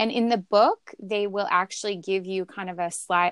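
In a very clean recording with a silent background, a woman speaks in a plain, everyday voice at a medium pitch. The sound is dry and close with no echo, and her intonation is fairly even. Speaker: intuitive eating guest. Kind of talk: interview conversation.

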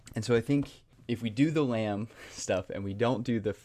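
At a moderate pace, a man with an American accent and a fairly low pitch talks in an unremarkable speaking voice. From North Carolina (Raleigh area). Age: 20s. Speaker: nonprofit director, mentoring. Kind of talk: interview conversation.

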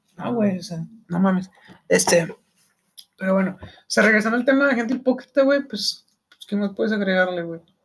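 Talking at a fairly quick pace with long, frequent pauses, a man uses a high pitch and ordinary pitch variation. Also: big swings in loudness. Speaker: podcast host. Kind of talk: casual chat.

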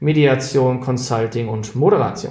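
A man speaks at a medium pitch with a somewhat breathy voice and ordinary pitch variation. Audible room echo is present. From Schleswig-Holstein, northern Germany. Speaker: podcast co-host, diversity trainer. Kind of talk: casual conversational podcast. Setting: remote call between two cities.

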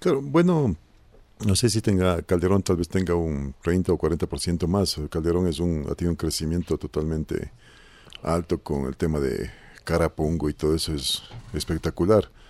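Very deep and low in pitch, a man speaks at a moderate pace with ordinary pitch variation. The recording is very clean, the background silent. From Ecuador, Conocoto (near Quito). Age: 50s. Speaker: parish council president. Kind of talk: radio talk show discussion.

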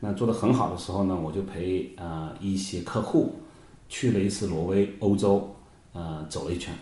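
A somewhat breathy male voice at a moderate pace, with audible room echo. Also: fairly low pitch for a man, ordinary pitch variation. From China, Hunan (Yueyang). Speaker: software engineer and wine trader. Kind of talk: casual interview chat. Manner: halting, many fillers.

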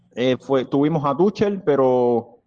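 The pitch of a man's fairly high voice varies in an ordinary way. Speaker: football fan club vice president. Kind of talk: interview. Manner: hesitant, many fillers.

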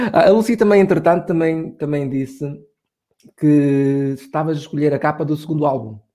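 Speaking at a moderate pace, a man with a fairly high pitch and a dark, mellow tone uses ordinary pitch variation. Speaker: podcast host. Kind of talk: casual chat.

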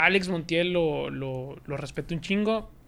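A man has an unremarkable speaking voice at a fairly high pitch. His pitch variation is ordinary. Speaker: sports youtuber. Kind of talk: casual chat.

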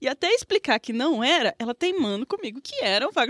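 A woman's fairly quick speech with very wide pitch swings, in a dry, close sound with no echo. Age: young. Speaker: podcast co-host. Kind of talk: casual chat.

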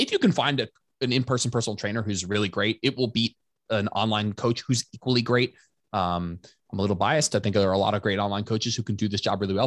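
At a very fast pace, a man speaks with a fairly low pitch and fairly even intonation. The sound is dry and close with no echo, and the background is quiet. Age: 30s. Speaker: personal trainer and coach. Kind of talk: casual chat.

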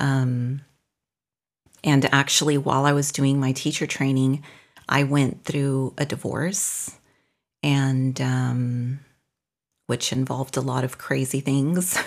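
In a very clean recording with a silent background, a woman with a very deep, low pitch speaks very slowly in a flat monotone, with long, frequent pauses. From northern Mexico. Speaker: yoga teacher and studio owner. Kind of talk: casual interview.

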